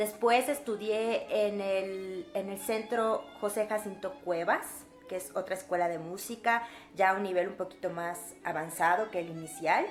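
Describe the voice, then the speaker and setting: A woman speaks at medium pitch and a fairly slow pace, with a Yucatecan accent and ordinary pitch variation. Music plays in the background. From Mexico, Yucatán (Mérida). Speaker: violinist and music teacher. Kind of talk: casual Q&A vlog. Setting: home recording, non-professional equipment.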